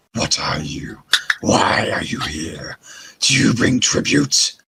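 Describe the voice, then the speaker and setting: Putting on a growling character voice, a man speaks at a fairly slow pace with a fairly low pitch. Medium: actual play. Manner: cold, haughty, scornful.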